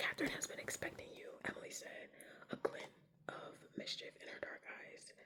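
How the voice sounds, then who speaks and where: Someone whispers. The pace is moderate. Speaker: ASMR creator. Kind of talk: ASMR book reading. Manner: whispered.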